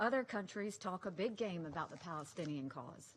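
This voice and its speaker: In an American accent, a woman with a fairly low pitch talks at a moderate pace in a plain, everyday voice. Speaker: US ambassador to the UN, speaking at a Security Council debate. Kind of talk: formal diplomatic speech at a UN Security Council debate.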